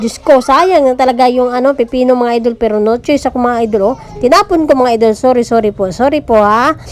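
A woman's high-pitched, very fast speech with lively intonation, against noticeable background noise. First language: Cebuano (Bisaya) (speaking Tagalog). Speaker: vlogger. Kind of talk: casual chat.

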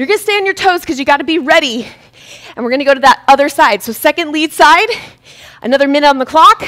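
A woman speaks at a high pitch against a quiet background. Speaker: fitness instructor. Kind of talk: live-streamed boxing workout class, coaching with rhythmic cues and combo calls. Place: studio.

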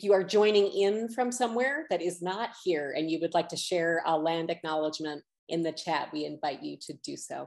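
Over a quiet background, a woman with fairly low pitch talks at a moderate pace with lively intonation and hardly any pauses. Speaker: executive director of an arts center. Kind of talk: event welcome and introduction. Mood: warm, welcoming. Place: home room. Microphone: webcam.

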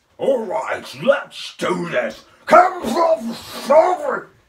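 A put-on character voice, high in pitch, speaks at a very slow pace. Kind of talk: comic overacting, voice test. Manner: shouting, brutish, battle-crazed.

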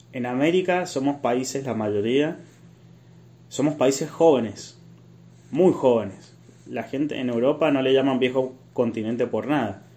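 A man's medium-pitched voice, dark and mellow in tone, with ordinary pitch variation, a fairly slow pace and long, frequent pauses. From Argentina, Mendoza. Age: 20s. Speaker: civil engineer. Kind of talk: casual interview chat.

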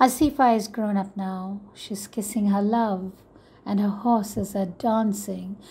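In a very clean recording with a silent background, a woman at a medium pitch sounds somewhat breathy, her tone dark, mellow and intense. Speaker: poet reading her own poem. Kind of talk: spoken-word poetry reading, impassioned and defiant. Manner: measured, emphatic, rhythmic with repeated refrain; intense, urgent, building to a forceful final line.

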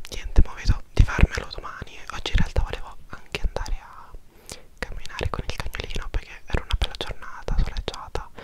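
Whispering at a fairly quick pace, a man speaks in an intense tone. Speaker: vlogger. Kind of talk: casual vlog chat. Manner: close intense whisper into microphone. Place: home room. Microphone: lapel.

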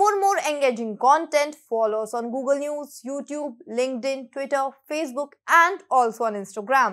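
Lively intonation marks a woman's high-pitched voice as she talks at a moderate pace. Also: quiet background. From India. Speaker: news presenter. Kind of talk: newsreading, scripted startup news bulletin. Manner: fluent Hindi-English code-mixing. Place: studio.

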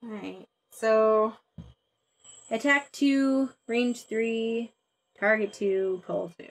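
Against a quiet background, a woman with a fairly high pitch speaks very slowly in a playful tone. Her intonation stays fairly even, broken by long, frequent pauses. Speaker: board game player. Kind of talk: live board game play. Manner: playful, laughs often. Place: home room.

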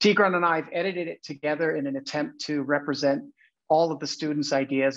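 Against a quiet background, a man with an American accent talks at a fairly quick pace in a fairly high voice, his intonation fairly even. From Los Angeles. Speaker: arts education director; teacher introducing student work. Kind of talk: presentation introduction. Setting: video call. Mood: warm, welcoming. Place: home room. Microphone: earbuds.

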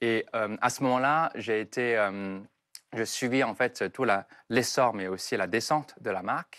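Against a quiet background, the speaker uses a Chinese accent, a fairly slow pace and ordinary pitch variation. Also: man. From southern China, Foshan; China. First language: Chinese (speaking French). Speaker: entrepreneur; TV guest. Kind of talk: interview. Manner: halting. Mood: calm, reflective, smiling. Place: studio. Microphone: lapel.

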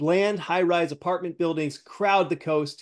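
A man talks at a moderate speed in quiet surroundings, his pitch shifting in an ordinary way. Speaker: show host. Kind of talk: reading a script aloud. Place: home room.

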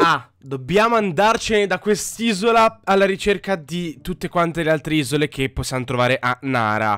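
A man speaks at a moderate pace with hardly any pauses, his high voice bright and sharp. His tone is animated, with very wide pitch swings, in a dry, close sound with no echo. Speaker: gaming youtuber. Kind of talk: let's play commentary.

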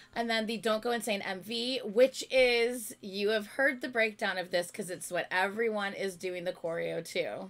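A woman speaks at a moderate pace with hardly any pauses. Her fairly high pitch shows ordinary pitch variation. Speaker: YouTube reactor. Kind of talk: casual chat. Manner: loud. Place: home room.

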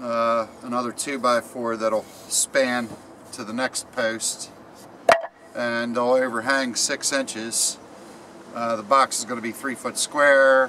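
A man talks at a very slow pace in a monotone, flat intonation, leaving long, frequent pauses over light background noise. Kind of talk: tutorial. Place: garden. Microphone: camera far.

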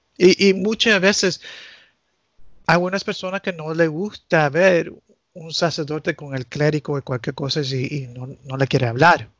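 Speaking in an English accent, a man with a fairly high-pitched voice goes at a moderate pace, his loudness swinging widely, in a dry, close sound with no echo. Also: ordinary pitch variation. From United States, Nicaraguan family. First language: English (speaking Spanish). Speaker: canon lawyer. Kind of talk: casual chat. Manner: halting.

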